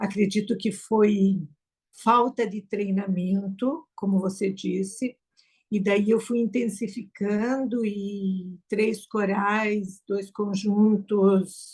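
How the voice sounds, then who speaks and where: A somewhat breathy woman at a very slow pace, in monotone, flat intonation. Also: medium pitch for a woman. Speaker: choir singer and student. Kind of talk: casual chat.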